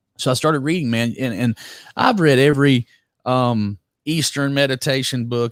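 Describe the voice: A man with a Southern accent talks at a moderate pace and medium pitch with ordinary pitch variation. The recording is very clean, dry and close, with no echo and a silent background.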